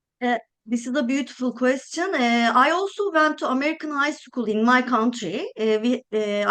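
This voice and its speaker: A woman with a Turkish accent speaks at a moderate pace. Her high pitch moves with lively intonation. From Turkey. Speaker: architect. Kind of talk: interview. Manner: hesitant, many filler sounds.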